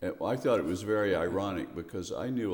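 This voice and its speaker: Vocal fry runs through this voice, spoken with an American accent at a moderate pace and ordinary pitch variation. Room echo is audible. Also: man. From US South, Memphis, Tennessee. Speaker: poet and retired professor. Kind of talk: interview. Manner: halting.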